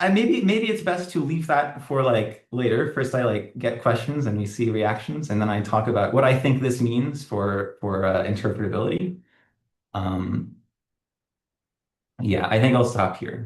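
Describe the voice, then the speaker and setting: A somewhat breathy man talks at a medium pitch with lively intonation. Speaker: academic researcher. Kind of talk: lecture. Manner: fast.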